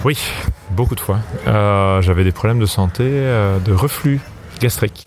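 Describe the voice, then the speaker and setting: Against noticeable background noise, a man speaks fairly slowly at a fairly low pitch, keeping his loudness very even and his pitch variation ordinary. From France. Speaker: singer and ensemble director. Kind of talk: interview.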